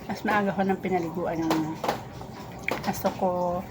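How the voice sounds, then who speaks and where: A woman's fairly low, monotone voice with flat intonation at a moderate pace, with music in the background. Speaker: vlogger. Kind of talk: casual vlog chat. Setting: at home, boss asleep. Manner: quiet, not loud.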